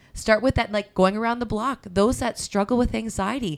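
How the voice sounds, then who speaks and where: A woman talks at a fairly quick pace in a warm, animated tone. Her pitch is fairly high and varies in an ordinary way. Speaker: pastor and podcast host. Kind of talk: casual chat, interview.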